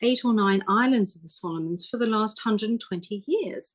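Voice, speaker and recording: This woman speaks with a British accent at fairly high pitch. Her intonation is lively. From UK. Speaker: homeopath. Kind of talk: interview.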